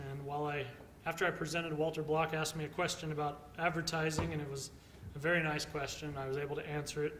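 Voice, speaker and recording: With an American accent, a man talks very fast at a fairly high pitch in a monotone, flat way, with noticeable background noise and audible room echo. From Texas. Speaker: economics lecturer. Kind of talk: conference talk.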